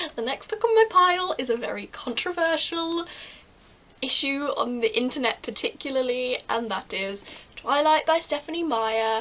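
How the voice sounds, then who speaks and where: This woman, with an English accent, speaks at a moderate pace in a high voice whose pitch swings very widely. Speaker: book vlogger. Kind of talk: casual vlog. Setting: bedroom at night. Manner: animated.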